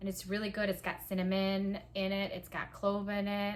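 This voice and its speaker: Someone speaks at a moderate pace with a Palauan accent. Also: woman. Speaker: small business owner. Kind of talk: casual vlog talk. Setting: at home. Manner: casual, many fillers.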